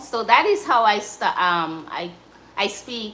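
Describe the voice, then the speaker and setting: A woman with a Jamaican accent speaks at a very slow pace. Room echo is audible. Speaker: cooking livestreamer. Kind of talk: casual livestream chat. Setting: live stream. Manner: halting.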